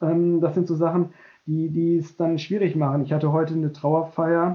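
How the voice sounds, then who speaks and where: Delivery is monotone and flat, at a moderate pace. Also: man. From Westphalia, Germany. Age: 40s. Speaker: protestant pastor. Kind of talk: interview.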